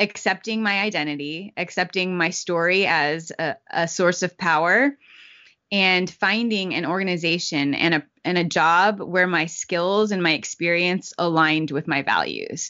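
At a moderate pace, a woman with a fairly low pitch talks in an ordinary speaking voice with ordinary pitch variation. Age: young. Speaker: racial equity communications director and magazine editor. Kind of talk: interview conversation.

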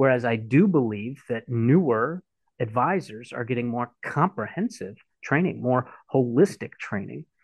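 In an unremarkable speaking voice, a man talks at a moderate pace and medium pitch with lively intonation. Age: 40s. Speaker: financial advisor. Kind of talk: interview.

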